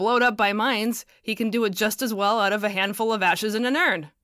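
A woman speaks at a fairly quick pace in an ordinary speaking voice. Her pitch is fairly high. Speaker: podcast host and novelist reading own audiobook. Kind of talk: literary audiobook reading of fiction. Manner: measured narrator's delivery, shifting into character voices for dialogue; wry, dryly humorous, with tart, haughty and quavery character inflections.

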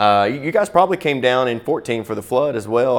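A man in a Southern US accent, medium-pitched and talking at a very fast pace. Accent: US South. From Florida, Pensacola. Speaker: pastor. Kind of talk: talk to church audience. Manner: halting, many repeated words.

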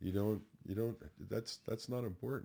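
At a moderate pace, the speech carries a dark, mellow tone. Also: man. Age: 70s. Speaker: martial arts instructor and stuntman. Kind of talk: casual chat.

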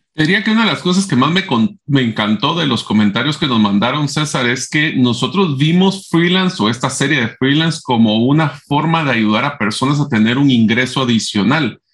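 A man talks in a plain, everyday voice, fairly high in pitch, with lively intonation, very even loudness and hardly any pauses. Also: moderate pace. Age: 40s. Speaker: podcast co-host. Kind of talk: casual chat.

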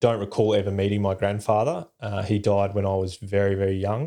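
This man has a dark, mellow tone and a fairly low pitch. He speaks with an Australian accent. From Perth, Western Australia. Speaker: war veteran, former army combat medic. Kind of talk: interview storytelling. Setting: video call.

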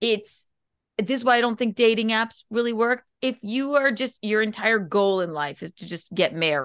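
An ordinary speaking voice talks at a moderate pace with an American accent and lively intonation. The background is quiet. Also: woman, fairly high pitch for a woman. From South Carolina. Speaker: comedian and podcaster. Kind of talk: casual chat.

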